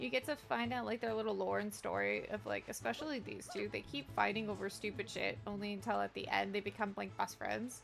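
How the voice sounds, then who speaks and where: A woman speaks at a fairly quick pace with hardly any pauses. Music plays in the background. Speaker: video game streamer. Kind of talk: casual live-stream chat. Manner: loud.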